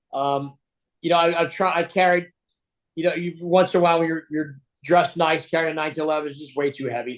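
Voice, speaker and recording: Against a quiet background, a man with an American accent speaks at a high pitch. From New Jersey. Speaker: podcast guest, gun owner and cyclist. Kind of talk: interview. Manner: halting, many fillers.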